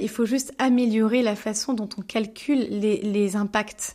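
In a very clean recording with a silent background, a woman talks with a fairly high pitch and fairly even intonation. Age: 30s. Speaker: dietitian and author. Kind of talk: testimony interview. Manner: halting with fillers.

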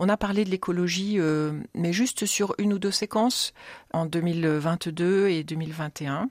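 Woman at a fairly low pitch, very slow pace, very even loudness and ordinary pitch variation, dry and close with no echo, very clean recording with a silent background. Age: 50s. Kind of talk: radio interview. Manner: hesitant, many fillers.

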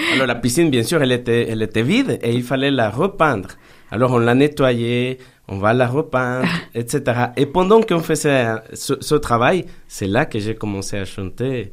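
A man in a Spanish accent talks at a moderate pace and medium pitch, with ordinary pitch variation. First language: Spanish (speaking French). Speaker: pastor. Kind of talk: radio interview. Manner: halting, with repetitions.

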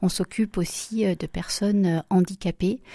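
On a very clean recording with a silent background, a woman speaks at a medium pitch with a somewhat breathy, dark, mellow tone and fairly even intonation. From France, Loire (Saint-Étienne). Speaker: home care agency director. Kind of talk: radio interview.

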